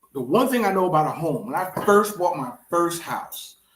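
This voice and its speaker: Animated, high-pitched speech from a man, with audible room echo. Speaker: real estate investor. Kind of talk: casual chat. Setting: studio. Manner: fast.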